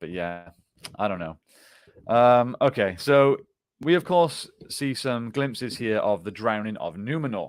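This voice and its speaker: A man with a British accent and a medium pitch, fairly slow with long, frequent pauses, lively intonation and big swings in loudness. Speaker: fantasy TV reaction show co-host. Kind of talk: casual chat.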